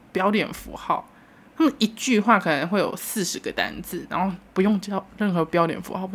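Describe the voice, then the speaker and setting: A woman's somewhat breathy, animated voice at medium pitch, with ordinary pitch variation and a fairly quick pace. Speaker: solo podcast host. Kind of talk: casual solo monologue. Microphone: new microphone.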